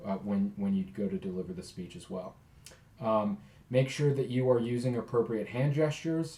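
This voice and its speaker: With noticeable background noise, a man talks at a fairly quick pace and medium pitch, using ordinary pitch variation. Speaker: college speech instructor. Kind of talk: recorded lecture.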